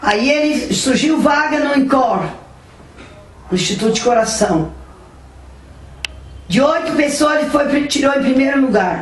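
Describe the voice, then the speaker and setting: Over noticeable background noise and audible room echo, a woman speaks fairly slowly in a high voice with lively intonation. She leaves long, frequent pauses. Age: 70s. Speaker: mother telling her life story. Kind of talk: personal testimony.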